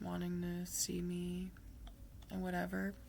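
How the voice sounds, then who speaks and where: Quiet mumbling. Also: woman. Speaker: vlogger. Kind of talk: video diary monologue. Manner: mumbling, slurred words; quiet, low energy. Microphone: quiet Chromebook laptop mic.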